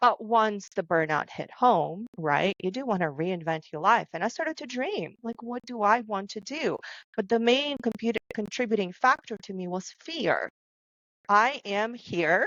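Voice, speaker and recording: At a fairly slow pace, a woman with a non-native accent speaks at a fairly high pitch, with lively intonation and big swings in loudness. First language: not English. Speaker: podcast co-host, author. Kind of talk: casual panel discussion.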